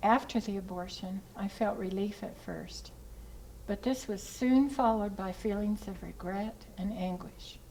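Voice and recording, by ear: A woman speaks at a fairly slow pace with medium pitch, ordinary pitch variation, and a dark, mellow tone. Faint music plays in the background.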